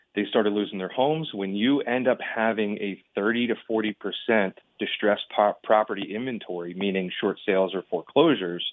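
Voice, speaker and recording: In an ordinary speaking voice, a man talks at a fairly quick pace with fairly low pitch and ordinary pitch variation. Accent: American. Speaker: real estate agent. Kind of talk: radio interview.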